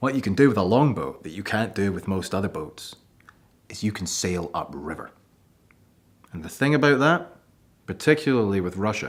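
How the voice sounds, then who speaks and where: A man with a Scottish accent talks at a moderate pace with long, frequent pauses, very wide pitch swings and big swings in loudness. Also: fairly low pitch for a man. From Scotland. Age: 20s. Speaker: archaeology student. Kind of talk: presentation. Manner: animated.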